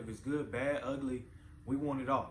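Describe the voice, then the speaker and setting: Audible room echo surrounds a man speaking at a moderate pace in a somewhat breathy, medium-pitched voice. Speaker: parenting channel host. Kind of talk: motivational talk to camera. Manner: repetitive, halting.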